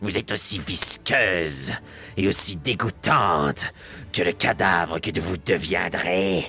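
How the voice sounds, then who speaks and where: Clear music plays behind a raspy, put-on character voice that moves at a fairly slow pace. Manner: cursing, menacing.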